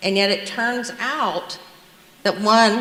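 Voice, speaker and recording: In a Southern US accent, a woman talks at a fairly slow pace over noticeable background noise. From US South, South Carolina. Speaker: nurse, public commenter. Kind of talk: public comment at school board meeting.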